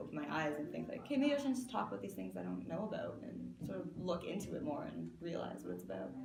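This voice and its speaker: Over noticeable background noise and audible room echo, a woman with a Canadian accent talks at a very fast pace. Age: 20s. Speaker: fashion designer. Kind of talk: interview.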